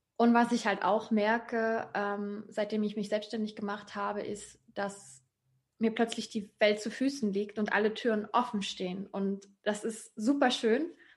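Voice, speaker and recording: A fairly high-pitched woman's voice, fairly slow and monotone, with flat intonation. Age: 20s. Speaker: digital nomad and self-employed coach. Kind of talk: interview.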